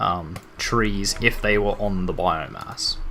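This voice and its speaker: With an Australian accent, a man talks in a lively intonation. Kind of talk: video game let's play commentary. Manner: casual, rambling.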